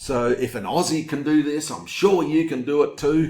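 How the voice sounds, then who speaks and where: A man with an Australian accent, fairly high in pitch, at a fairly slow pace. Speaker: online marketer. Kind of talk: webinar sales pitch. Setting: home recording. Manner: animated.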